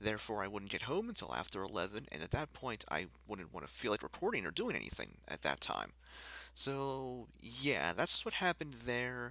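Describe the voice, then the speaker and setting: A soft-spoken man with a fairly low pitch and a bright, sharp tone talks at a moderate pace, with vocal fry. The recording is very clean, with a silent background. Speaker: gaming YouTuber. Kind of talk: casual vlog update. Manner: quiet, soft-spoken; hesitant, many fillers.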